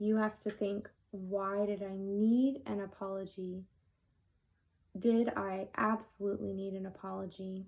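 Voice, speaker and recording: A medium-pitched woman at a fairly slow pace, monotone and flat, in a very clean recording over a silent background. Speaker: tarot reader. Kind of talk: tarot reading.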